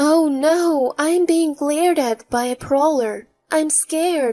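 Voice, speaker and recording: Using a put-on character voice, a woman speaks fairly slowly in a high pitch. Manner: girly, pretentious, mock scared, emotionless.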